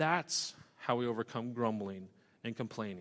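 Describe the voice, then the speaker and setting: On a very clean recording with a silent background, a man talks with a Western US accent. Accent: Western American. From US West (Idaho). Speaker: pastor. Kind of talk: sermon.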